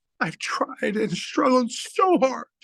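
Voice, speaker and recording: A man talks with an American accent. His pitch is extremely high. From Philadelphia, US Northeast. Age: 50s. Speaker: online business testimonial speaker. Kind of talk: testimony. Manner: halting.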